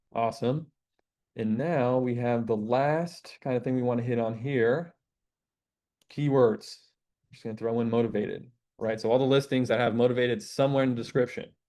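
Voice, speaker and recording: The man's tone is dark and mellow. His pitch is medium. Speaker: real estate investor teaching deal sourcing. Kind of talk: screen-share tutorial. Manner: stutters at times; casual, filler-heavy.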